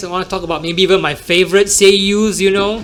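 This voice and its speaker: A man with an American accent, high-pitched, at a moderate pace, amid noticeable background noise. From Singapore. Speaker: podcast host and emcee. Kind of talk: casual solo podcast talk.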